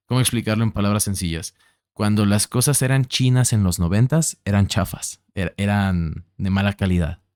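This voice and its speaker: A man with a central Mexican accent speaks at a fairly low pitch with ordinary pitch variation, in a dry, close sound with no echo on a very clean recording with a silent background. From Mexico City. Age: 20s. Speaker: podcast host. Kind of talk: casual conversation.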